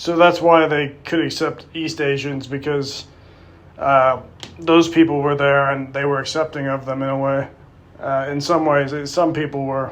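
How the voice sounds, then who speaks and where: The delivery is monotone and flat. It moves at a moderate pace. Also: man, fairly high pitch for a man. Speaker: YouTuber. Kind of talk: casual monologue to camera. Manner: halting, many fillers.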